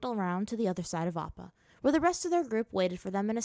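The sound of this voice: What you hear is an unforced reading voice.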